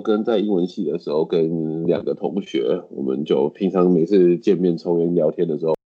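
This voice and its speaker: In a Taiwanese accent, a man speaks at a moderate pace with a very deep, low pitch. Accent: Taiwanese Mandarin. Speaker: English teacher. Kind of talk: casual interview chat.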